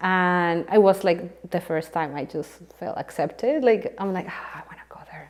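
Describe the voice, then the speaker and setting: A woman with a fairly low pitch and a Spanish accent speaks at a moderate pace, with big swings in loudness. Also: ordinary pitch variation. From Colombia (Bogota). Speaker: composer. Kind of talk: casual interview chat.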